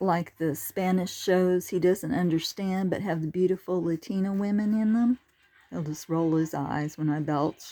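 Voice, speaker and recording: A woman speaks with a dark, mellow tone and fairly even intonation. The recording is very clean, with a silent background. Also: medium pitch for a woman. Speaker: humorist telling personal stories. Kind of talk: comic storytelling monologue. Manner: slow.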